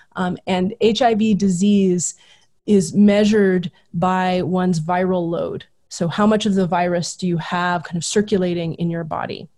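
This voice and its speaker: In an American accent, a woman speaks at medium pitch with a dark, mellow, somewhat breathy tone and monotone, flat intonation. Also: fairly slow pace, very clean recording, silent background. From Southern California. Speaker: history professor. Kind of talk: casual interview.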